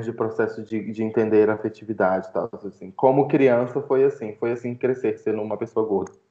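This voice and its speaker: Speaking with fairly even intonation, this man has a plain, everyday voice. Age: 20s. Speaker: student and fat-acceptance activist. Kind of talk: casual podcast interview.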